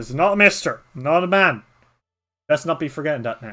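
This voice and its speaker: A man puts on a gruff, rumbling character voice at a fairly high pitch. He speaks at a fairly quick pace. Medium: virtual streamer. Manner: gruff, grumbling.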